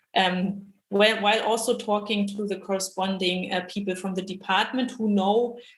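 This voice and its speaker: Somewhat breathy and at medium pitch, a woman speaks at a moderate pace in a monotone, flat intonation. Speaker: machine learning engineer at a bank. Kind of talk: panel discussion.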